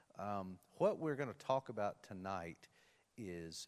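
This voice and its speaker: A man speaks in a Tennessee accent at a fairly slow pace. His pitch is very deep and low. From Tennessee, Nashville. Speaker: panel moderator, policy lawyer. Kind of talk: panel discussion introduction. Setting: university event, live streamed.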